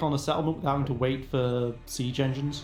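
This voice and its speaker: With music in the background and audible room echo, a man speaks very fast in a fairly high pitch with monotone, flat intonation. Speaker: gaming YouTuber. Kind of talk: gameplay commentary. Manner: quiet.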